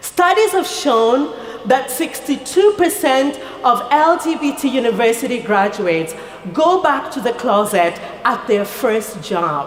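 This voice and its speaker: Through audible room echo and noticeable background noise, the speaker goes at a fairly slow pace with very wide pitch swings. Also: woman, high pitch for a woman. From rural Kenya. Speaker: nonprofit founder. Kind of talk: speech. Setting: stage with audience. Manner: formal.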